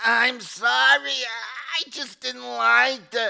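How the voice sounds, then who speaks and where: This man puts on a character voice. He talks very slowly. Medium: comedy sketch. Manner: hesitant, stammering.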